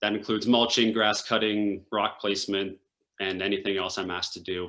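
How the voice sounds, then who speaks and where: A man's bright, sharp voice, flat and monotone at a fairly quick pace. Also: fairly low pitch for a man. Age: 20s. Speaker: runner living with cystic fibrosis. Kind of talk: interview.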